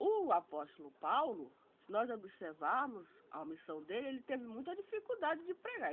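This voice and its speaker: Speaking at a moderate pace with a Brazilian accent, the voice swings very widely in pitch. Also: woman. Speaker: online theology student. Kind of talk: informal religious talk.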